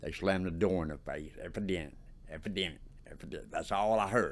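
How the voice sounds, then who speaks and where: With audible room echo around him, a man of fairly low pitch speaks at a fairly quick pace. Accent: Southern US. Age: 60s. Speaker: formerly homeless ex-prisoner. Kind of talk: oral history interview. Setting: office interview. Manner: halting, repetitive.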